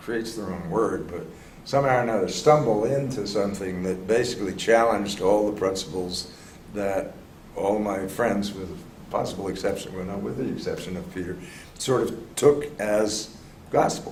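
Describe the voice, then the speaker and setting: A fairly low-pitched man with an American accent, ordinary pitch variation and a moderate pace, amid audible room echo and noticeable background noise. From US, Philadelphia. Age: 70s. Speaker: organization development consultant. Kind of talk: interview conversation.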